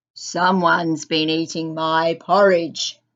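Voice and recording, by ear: A loud, gruff, put-on character voice at a middle pitch and a fairly slow pace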